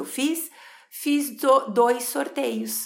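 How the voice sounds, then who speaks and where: A woman's fairly high voice carries vocal fry. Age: 40s. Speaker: psychologist. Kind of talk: podcast monologue. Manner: animated.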